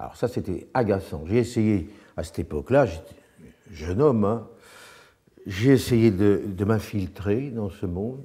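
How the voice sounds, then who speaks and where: Speaking at a fairly slow pace with long, frequent pauses, a man has a fairly low pitch, a dark, mellow tone and big swings in loudness. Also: ordinary pitch variation. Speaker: actor. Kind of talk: interview.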